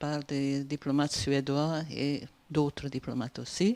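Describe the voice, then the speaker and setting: A woman speaks with a Hungarian accent at a very deep, low pitch. Her pace is fairly slow. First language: Hungarian (speaking French). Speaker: PhD student, audience member. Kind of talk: audience question at conference. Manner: halting, many hesitations.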